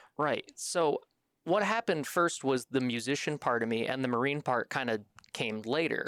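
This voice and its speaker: A man with lively intonation speaks at a moderate pace, his loudness very even, in a dry, close sound with no echo. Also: medium pitch for a man, very clean recording, silent background. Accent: slight Midwestern. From Michigan, US Midwest. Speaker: military band saxophonist. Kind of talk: podcast interview.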